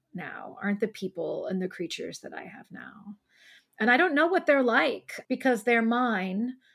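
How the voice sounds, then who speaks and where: With a Midwestern US accent, a woman speaks at a fairly high pitch, with vocal fry and very wide pitch swings. The recording is very clean, with a silent background. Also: moderate pace. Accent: US Midwest. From Ohio. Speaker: poet. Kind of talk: casual chat.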